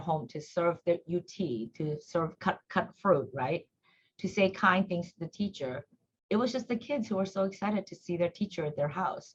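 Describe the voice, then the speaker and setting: The voice has a Korean accent, lively intonation and a somewhat breathy quality. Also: woman. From South Korea, then US from age nine. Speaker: nonprofit executive director. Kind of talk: interview, personal reflection. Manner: conversational with frequent fillers.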